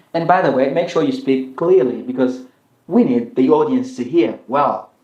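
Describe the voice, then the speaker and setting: A man speaks loudly at a moderate pace in a fairly high pitch. His pitch swings very widely. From Rwanda. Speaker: YouTuber. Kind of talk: interview. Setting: live stream.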